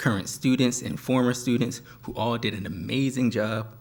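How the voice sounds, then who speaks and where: A man's medium-pitched voice, fairly even in intonation, at a moderate pace. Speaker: professor. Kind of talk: closing speech. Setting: stage with audience. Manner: soft-spoken.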